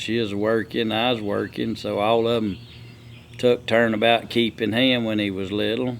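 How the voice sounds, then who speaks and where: In a rural Southern US accent, the voice moves at a moderate pace with monotone, flat intonation. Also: man. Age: 60s. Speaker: logger and sawmill owner. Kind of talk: casual chat.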